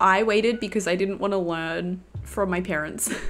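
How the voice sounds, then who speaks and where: Her pace moderate and her pitch variation ordinary, a woman speaks with an Australian accent. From Australia, Melbourne. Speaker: game streamer. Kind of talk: casual chat. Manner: casual, hesitant with fillers. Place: home room. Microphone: headset.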